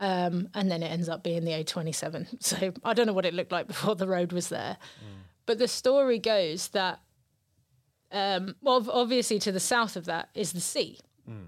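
In a southern English accent, a woman speaks at a moderate pace and medium pitch with ordinary pitch variation, on a very clean recording with a silent background. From southern England, Brighton. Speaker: poet. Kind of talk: casual interview chat.

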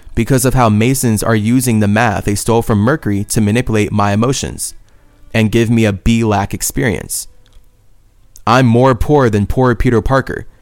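Over music in the background, a man talks in an animated tone at a fairly quick pace and a medium pitch. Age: 20s. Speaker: spiritual podcast host. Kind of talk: monologue.

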